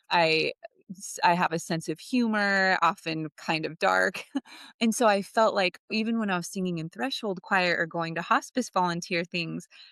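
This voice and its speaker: A loud woman's voice of medium pitch with a bright, sharp tone, ordinary pitch variation and a moderate pace, in a dry, close sound with no echo. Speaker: end-of-life doula. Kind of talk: interview. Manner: animated.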